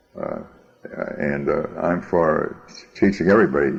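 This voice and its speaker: A man is talking. Noticeable background noise runs beneath his voice. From US Northeast, Boston. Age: 80s+. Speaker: interviewee, grandfather. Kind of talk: oral history interview. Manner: halting, many fillers and repeats.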